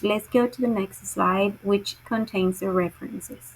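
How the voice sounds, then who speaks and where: Speaking at a fairly slow pace with fairly even intonation, a woman uses a medium pitch and a Spanish accent. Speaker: teacher presenting a class assignment. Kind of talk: recorded class presentation. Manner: halting, with self-corrections.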